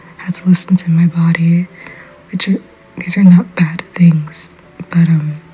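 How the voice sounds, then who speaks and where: Background noise is noticeable. The speaking moves at a moderate pace. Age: adult. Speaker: podcast host. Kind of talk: personal monologue. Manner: whispering.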